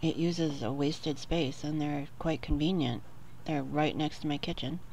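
Vocal fry colors a fairly even intonation over light background noise. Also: woman, very deep, low pitch for a woman, moderate pace, dry sound with no echo. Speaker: homemaker. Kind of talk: casual talk to camera. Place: home room. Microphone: phone near.

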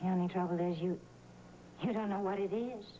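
Noticeable background noise runs under this recording. A woman talks at a fairly slow pace. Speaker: soap opera actor. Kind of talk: dramatic dialogue. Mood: reproachful, earnest. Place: studio.

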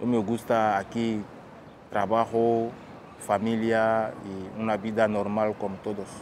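At a very slow pace, a man talks in a fairly low, monotone voice with flat intonation over light background noise. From Guinea. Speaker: refugee. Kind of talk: testimony. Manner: halting, many fillers and repetitions. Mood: serious, reflective. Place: waterside.

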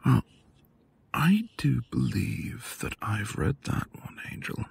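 A man's put-on character voice, slow-paced and husky with a rough edge, vocal fry and big pitch swings. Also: medium pitch for a man.

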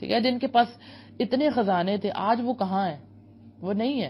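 A woman speaks in a fairly high pitch. Her voice is somewhat breathy. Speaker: motivational speaker. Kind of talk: motivational lecture.

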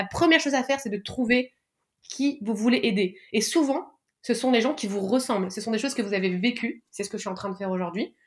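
Somewhat breathy and fairly high in pitch, a woman speaks at a fairly quick pace with ordinary pitch variation. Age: 30s. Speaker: public sector digital worker. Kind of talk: interview.

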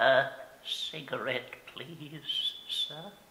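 A shaky, put-on character voice from a man, with audible echo

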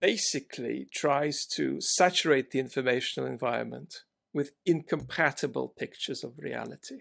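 A man is talking with a medium tempo. Nothing much can be heard behind him. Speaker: remote podcast guest. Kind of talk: interview answer. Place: home room.

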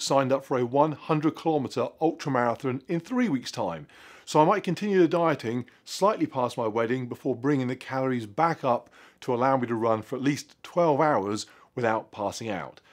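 A man at a moderate pace with ordinary pitch variation, against a quiet background. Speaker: fitness vlogger. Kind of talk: casual vlog chat. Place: garage.

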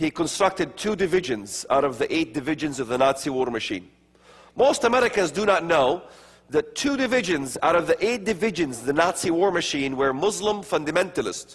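A man with a high pitch speaks fairly quickly, his voice making very wide pitch swings. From Middle East, Palestinian areas. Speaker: speaker on religion and prophecy; speaker. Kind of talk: lecture. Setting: stage with audience. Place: church. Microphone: lapel.

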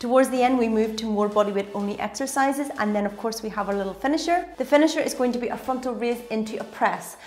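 The speaker talks at a very fast pace with hardly any pauses and ordinary pitch variation. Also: woman. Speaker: fitness instructor. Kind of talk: tutorial. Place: home room.

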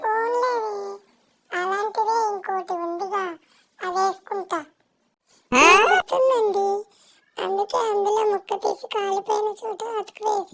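A woman's cartoonish character voice, extremely high in pitch, at a very slow pace. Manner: comic bickering.

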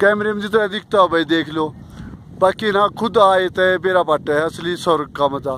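A man with a Haryana accent at high pitch, ordinary pitch variation and noticeable background noise. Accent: Haryanvi. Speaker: motorcycle rider. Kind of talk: travel vlog commentary to camera. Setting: outdoors, windy. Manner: casual, enthusiastic.

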